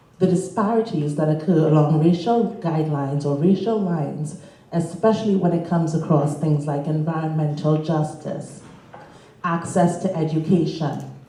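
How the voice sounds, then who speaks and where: Audible room echo surrounds a woman's voice. She speaks at a fairly low pitch with fairly even intonation. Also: moderate pace. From Caribbean. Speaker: panelist, charity network staff. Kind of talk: conference panel remarks.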